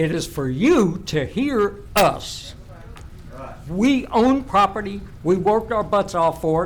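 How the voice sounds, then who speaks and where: A man with a high pitch and lively intonation speaks at a very slow pace. Noticeable background noise and audible room echo surround his voice. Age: 70s. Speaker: retired veteran speaking at public comment. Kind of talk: public comment at council meeting. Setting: public meeting chamber.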